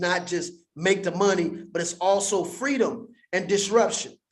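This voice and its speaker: A man talks in a high pitch with an animated tone. His pitch variation is ordinary, and audible room echo surrounds him. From US West Coast, Compton, California. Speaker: crypto educator. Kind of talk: livestream teaching monologue. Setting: livestream in front of green screen.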